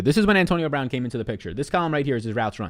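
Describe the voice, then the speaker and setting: A man with an American accent sounds animated, his pitch swinging very widely. The background is quiet and the sound is dry with no echo. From New York City (Staten Island); New York. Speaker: sports betting and fantasy sports analyst; fantasy sports analyst. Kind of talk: live stream chat. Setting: live stream. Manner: fast. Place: home room. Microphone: studio mic.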